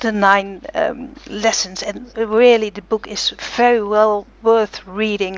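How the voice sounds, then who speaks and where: Spoken in a non-native accent, the voice moves at a very slow pace with monotone, flat intonation. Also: woman. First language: not English. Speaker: blogger and interviewer. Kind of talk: interview. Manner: halting, many fillers.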